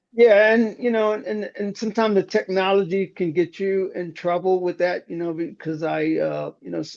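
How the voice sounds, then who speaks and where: A man with an American accent, fairly quick in pace, with ordinary pitch variation. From Baltimore, Maryland. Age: 60s. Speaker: upholsterer and instructor. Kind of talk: podcast interview. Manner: halting, many fillers and repeats.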